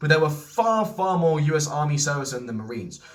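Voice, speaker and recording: Talking at a very fast pace, a man with a fairly high pitch is heard over noticeable background noise and audible room echo. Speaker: history video creator. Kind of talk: lecture. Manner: halting.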